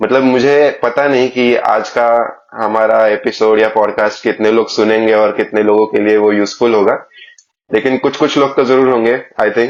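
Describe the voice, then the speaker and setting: Intonation stays monotone and flat in this voice with a Marathi accent. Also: man. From Maharashtra, India. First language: Marathi (speaking Hindi). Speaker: podcast host. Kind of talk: casual interview chat.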